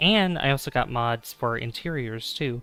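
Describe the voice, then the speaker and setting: A man speaks in a soft-spoken way. Music plays in the background. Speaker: gaming streamer. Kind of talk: casual live stream chat with gameplay.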